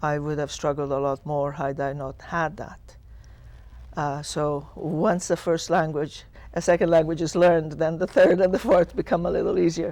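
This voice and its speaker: The speaker has an Italian accent and keeps a moderate pace. The background is quiet. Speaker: school superintendent. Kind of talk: TV panel interview. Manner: halting.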